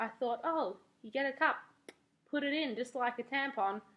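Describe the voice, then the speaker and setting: A high-pitched woman with an Australian accent, lively intonation, and a fairly slow pace. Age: 20s. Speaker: beauty and lifestyle vlogger. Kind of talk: casual vlog review. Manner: animated.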